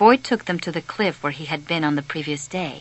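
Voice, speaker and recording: A woman is talking. Her pace is moderate. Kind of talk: audiobook narration. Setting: phone recording.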